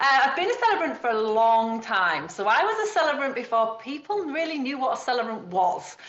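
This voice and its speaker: The speaker talks fairly quickly in a Yorkshire accent, with very wide pitch swings and hardly any pauses. Noticeable background noise runs underneath. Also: woman, high pitch for a woman. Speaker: wedding celebrant and trainer. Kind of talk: podcast interview.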